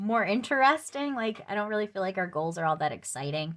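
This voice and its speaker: Over a silent background on a very clean recording, a woman speaks at a fairly quick pace with lively intonation. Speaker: budgeting vlogger. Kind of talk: casual vlog talk to camera. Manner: halting, filler-heavy.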